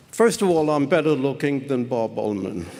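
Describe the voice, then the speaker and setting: Noticeable background noise sits behind a man with a fairly high pitch. He speaks at a moderate pace with lively intonation. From southern Germany. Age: 90s. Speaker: Holocaust survivor. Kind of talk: testimony. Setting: synagogue pulpit with audience.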